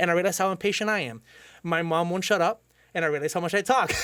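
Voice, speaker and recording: Loud and very fast, a man with a Cuban accent speaks in a high pitch with fairly even intonation on a very clean recording with a silent background. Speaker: podcast host. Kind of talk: casual chat.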